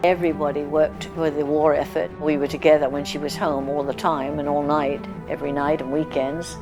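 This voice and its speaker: In a London accent, the speaker goes at a fairly quick pace with hardly any pauses and ordinary pitch variation, with music in the background. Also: woman, very deep, low pitch for a woman. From London, England. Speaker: Blitz survivor. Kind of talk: interview answer.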